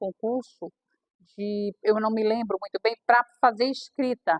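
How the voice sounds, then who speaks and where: A woman's unremarkable speaking voice at a fairly high pitch, with fairly even intonation and a moderate pace. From Bahia sertão, northeastern Brazil. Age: 60s. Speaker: aspiring author. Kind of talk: personal testimony at a reading circle.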